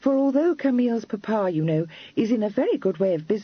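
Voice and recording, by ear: Intonation rises and falls in a lively way. The passage is read aloud in a natural voice.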